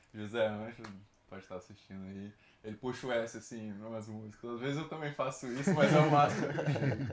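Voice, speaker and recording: Noticeable background noise sits behind the man. His medium pitch carries lively intonation. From Brazil, Espírito Santo (Nova Venécia), later Rio de Janeiro. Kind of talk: casual chat.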